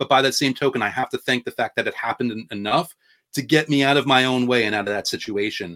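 A man talks at a very fast pace with a medium pitch and a bright, sharp tone. The recording is very clean, with a silent background and a dry, close sound with no echo. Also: ordinary pitch variation. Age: 40s. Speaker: law of attraction author and YouTuber. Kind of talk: casual interview chat.

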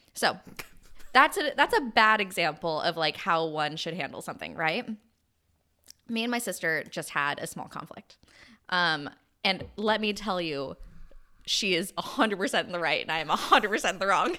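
In a very clean recording with a silent background, a woman with a bright, sharp tone and medium pitch speaks at a moderate pace with lively intonation and long, frequent pauses. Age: 30s. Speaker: podcast host and influencer. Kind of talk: casual chat.

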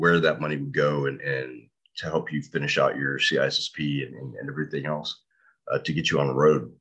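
A man's very deep, low voice with vocal fry, at a moderate pace. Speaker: podcast host. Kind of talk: interview. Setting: video call.

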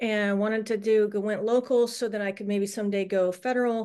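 A woman's normal speaking voice at a fairly quick pace, over a quiet background. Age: 40s. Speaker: former police officer turned attorney. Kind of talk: interview.

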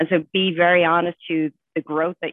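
A woman with an Irish accent, fairly low in pitch, at a moderate pace. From Ireland. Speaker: financial executive. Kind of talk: panel discussion.

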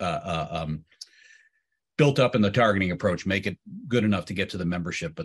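At a very fast pace, a man with a very deep, low pitch speaks with ordinary pitch variation. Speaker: pilots' union leader. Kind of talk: Q&A discussion at town hall. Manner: halting, repeats words.

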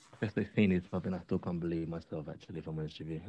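A man speaks with a British accent in a very deep, low pitch. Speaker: audio drama creator. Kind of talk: interview. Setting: video call.

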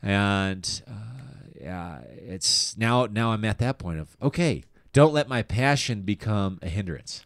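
In a very clean recording with a silent background, a man with a General American accent speaks at a very slow pace in a fairly low pitch, with hardly any pauses. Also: lively intonation. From Colorado, Denver area. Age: 30s. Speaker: comedian. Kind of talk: casual interview chat.

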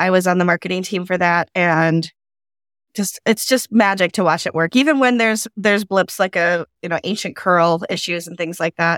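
A woman with an ordinary speaking voice and a medium pitch talks at a moderate pace with ordinary pitch variation, in a dry, close sound with no echo. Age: 50s. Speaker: podcast host and community organizer. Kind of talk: casual panel chat. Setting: video call.

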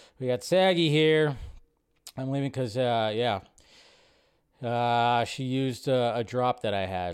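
A normal speaking voice from a man, medium in pitch and fairly slow in pace. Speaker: live stream host. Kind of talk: live stream chat with viewers. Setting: live stream to online audience. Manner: casual, chatty, upbeat.

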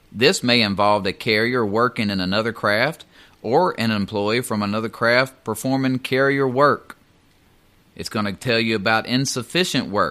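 In a Southern US accent, a man talks at a moderate pace, with medium pitch and ordinary pitch variation. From US South. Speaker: union steward and mail carrier. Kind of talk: educational talk on union contract. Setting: studio.

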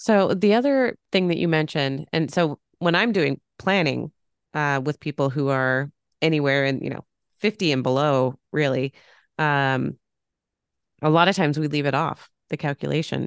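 A woman's very deep, low voice at a moderate pace with ordinary pitch variation, dry and close with no echo, against a quiet background. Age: 30s. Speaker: podcast host and financial planner. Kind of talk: casual interview chat.

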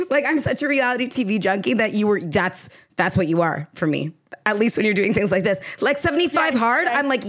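Enthusiastic in tone, a woman with a fairly high pitch moves quite quickly through very wide pitch swings while keeping her loudness very even. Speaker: podcast co-host. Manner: enthusiastic, laughs often.

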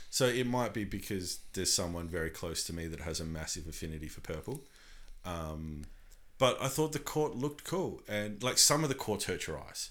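In an Australian accent, a man with a fairly low voice talks with very wide pitch swings. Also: moderate pace. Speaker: podcast co-host. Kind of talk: casual chat. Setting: home recording room.

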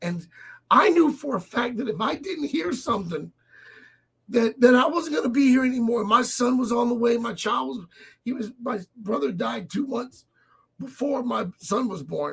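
In a put-on character voice, a man speaks with a raspy sound at an extremely high pitch and with lively intonation. His pace is moderate, broken by long, frequent pauses. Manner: emotional, voice breaking.

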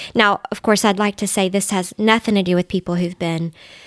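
Speaking fairly quickly with a Southern US accent, a woman keeps a medium pitch and fairly even intonation in a dry, close recording with no echo. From US South, Middle Tennessee. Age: 40s. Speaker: dietitian and substitute teacher. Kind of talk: casual interview chat.

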